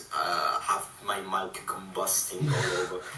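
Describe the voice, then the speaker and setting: A man is speaking. The recording has noticeable background noise and audible room echo. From Italy. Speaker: gamer. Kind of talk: casual chat. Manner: loud. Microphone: laptop mic, quiet and poor.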